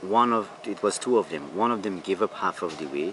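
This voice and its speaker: Over noticeable background noise, a man keeps to a moderate pace. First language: Wapixana. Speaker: tour guide. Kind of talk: interview answers. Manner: halting, non-native phrasing.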